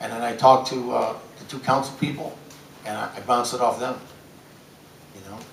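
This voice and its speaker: With an American accent, a man talks at a medium pitch and a fairly quick pace in an intense, monotone, flat delivery, leaving long, frequent pauses amid big swings in loudness, noticeable background noise and audible room echo. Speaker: city council member and gym teacher. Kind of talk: press conference. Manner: intense, loud; halting, repetitive.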